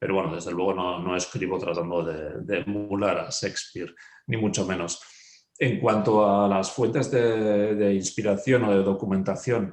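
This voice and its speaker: A man's fairly low voice with fairly even intonation at a moderate pace. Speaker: novelist. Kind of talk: author interview. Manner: halting.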